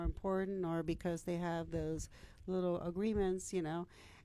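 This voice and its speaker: A woman's medium-pitched voice at a moderate pace. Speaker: city council member and candidate. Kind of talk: interview.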